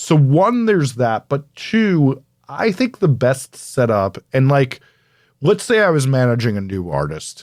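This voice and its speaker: The speaker's voice has very wide pitch swings and an animated tone at a fairly slow pace. The recording is very clean, with a silent background. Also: man, medium pitch for a man. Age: 40s. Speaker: record producer and podcaster. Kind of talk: interview answers.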